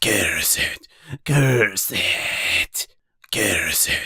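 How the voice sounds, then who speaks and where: In a put-on character voice, a man whispers in a raspy, hissing way. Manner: bitter, cursing.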